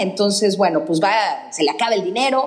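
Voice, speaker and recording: A woman's medium-pitched voice with lively intonation, audible room echo and noticeable background noise. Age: 40s. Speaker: architect. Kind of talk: casual chat.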